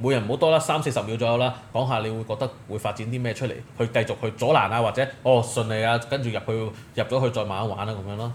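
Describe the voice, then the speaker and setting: Hardly pausing, a somewhat breathy man talks at a very fast pace with fairly even intonation. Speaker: podcast host. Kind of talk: casual chat.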